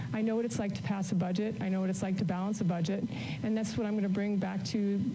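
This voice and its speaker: Against noticeable background noise, a woman talks at a very fast pace with fairly even intonation. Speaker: candidate. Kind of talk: debate answer. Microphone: podium.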